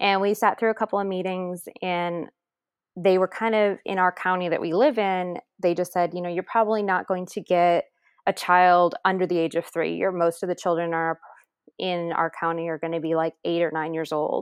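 In a normal speaking voice, a woman talks at a moderate pace with a fairly low pitch and fairly even intonation. The sound is dry and close with no echo, over a quiet background. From upstate New York. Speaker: teacher and adoptive mother. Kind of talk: interview testimony.

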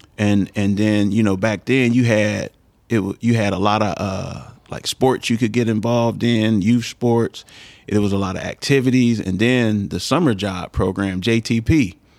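The speaker has a plain, everyday voice with an American accent. The pace is moderate and the intonation fairly even. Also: man, fairly low pitch for a man. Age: 40s. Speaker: former high school football player, community figure. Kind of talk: casual interview.

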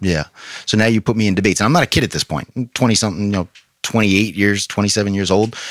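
A man with a fairly low pitch speaks at a very fast pace with ordinary pitch variation. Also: dry, close sound with no echo. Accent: American. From New York. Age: 30s. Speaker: pastor. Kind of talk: testimony. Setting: studio.

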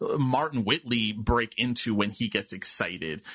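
With a bright, sharp tone, a man speaks at a fairly slow pace in a dry, close sound with no echo. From New York City (Queens). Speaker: podcast host. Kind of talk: casual chat.

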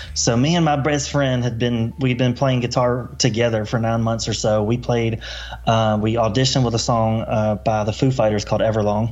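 Amid noticeable background noise and audible room echo, a man speaks at a medium pitch and moderate pace, with ordinary pitch variation and very even loudness. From US South, Mobile, Alabama. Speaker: author and construction entrepreneur. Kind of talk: casual interview, personal story. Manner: casual, animated.

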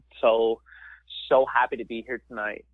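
A man in a rural Canadian accent at a moderate pace. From rural Ontario, Canada. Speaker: stand-up comedian. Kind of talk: casual interview.

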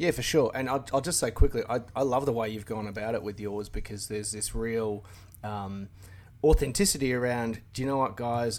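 Speaking fairly quickly, a man with an Australian accent keeps a medium pitch and fairly even intonation. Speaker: car YouTuber. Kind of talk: casual chat. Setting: remote call.

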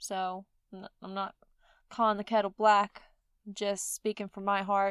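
A woman with a Mississippi accent speaks at a medium pitch and moderate pace in a monotone, flat delivery. The very clean recording has a silent background and a dry, close sound with no echo. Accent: Southern US (Mississippi). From US South, Mississippi. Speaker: podcast host. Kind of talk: solo podcast monologue.

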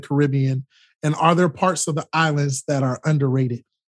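This is a man speaking. He has an American accent. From Florida. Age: young. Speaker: podcast host, travel journalist. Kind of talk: interview. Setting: video call. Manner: animated.

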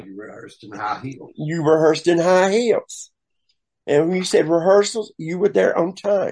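In a Southern US accent, a man speaks at a high pitch with lively intonation and big swings in loudness. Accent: Southern US drawl. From US South. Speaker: drag performer. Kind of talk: storytelling interview.

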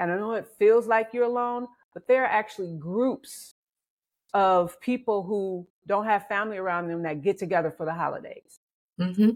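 On a very clean recording with a silent background, a plain, everyday voice moves at a moderate pace with ordinary pitch variation. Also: woman, medium pitch for a woman. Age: 50s. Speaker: life coach. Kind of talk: interview.

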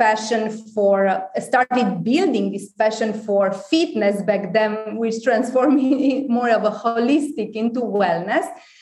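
Against noticeable background noise, a woman with a Romanian accent talks at a fairly slow pace and fairly high pitch, with lively intonation. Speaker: wellness company founder. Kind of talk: casual interview.

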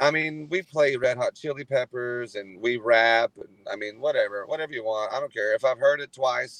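An ordinary speaking voice with an American accent at a moderate pace, in a dry, close sound with no echo. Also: man, medium pitch for a man, ordinary pitch variation. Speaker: country singer-songwriter. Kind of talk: casual interview. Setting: phone call while driving.

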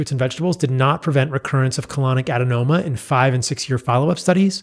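Somewhat breathy, this man speaks at a very fast pace with ordinary pitch variation. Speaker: physician and diet author. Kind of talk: casual interview. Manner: energetic.

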